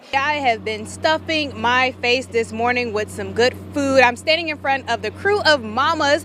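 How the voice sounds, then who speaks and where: This woman talks in an upbeat tone with an American accent, at a moderate pace. She hardly pauses, over noticeable background noise. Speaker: TV news anchor and reporter. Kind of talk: live field reporter stand-up, casual and upbeat. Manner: upbeat, conversational.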